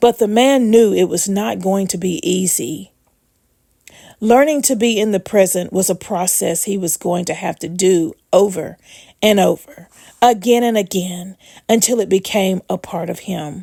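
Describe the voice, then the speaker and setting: At a moderate pace, a raspy, put-on character voice uses ordinary pitch variation in a dry, close recording with no echo, very clean, with a silent background. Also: woman, medium pitch for a woman. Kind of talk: inspirational story reading. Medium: read story. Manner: calm, measured.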